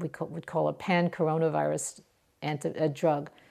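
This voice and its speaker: On a very clean recording with a silent background, a woman speaks at a moderate pace with a fairly low pitch and vocal fry. Her dark, mellow tone stays monotone and flat. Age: 60s. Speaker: microbiology professor. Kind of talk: interview. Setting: at home in her kitchen.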